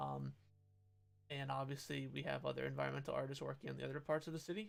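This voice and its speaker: Mumbling at a very fast pace, a man speaks with music in the background. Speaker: game developer streamer. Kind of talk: live stream chat while working. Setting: live stream. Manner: halting.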